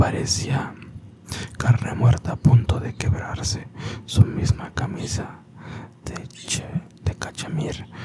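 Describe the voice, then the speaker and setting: Over clear background noise comes a whisper, delivered very slowly and broken by long pauses that occur often. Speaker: ASMR creator. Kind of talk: whispered story reading. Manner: whispered.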